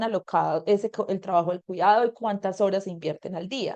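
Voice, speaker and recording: This woman has a dark, mellow tone and talks at a fairly quick pace with fairly even intonation. The sound is dry and close, with no echo. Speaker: environmental activist. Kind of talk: webinar talk. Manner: fast.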